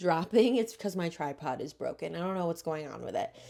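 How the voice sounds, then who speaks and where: On a very clean recording with a silent background, a woman speaks quietly in a fairly low voice. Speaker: tarot reader, video creator. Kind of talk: tarot tutorial to camera. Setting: spare room at home, late at night. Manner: quiet, keeping voice down; casual, chatty.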